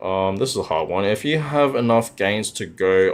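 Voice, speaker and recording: A man's fairly low voice with an Australian accent. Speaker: crypto livestreamer. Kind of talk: livestream chat reading. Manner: casual, filler-heavy.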